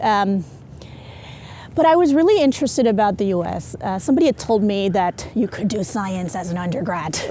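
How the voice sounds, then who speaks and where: Noticeable background noise sits under this woman's medium-pitched voice. Her pitch swings very widely. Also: fairly quick pace. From South Asia / Middle East, international upbringing (Sri Lanka high school). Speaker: entrepreneur, physicist. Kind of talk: casual interview. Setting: outdoors, walking around a campus quad.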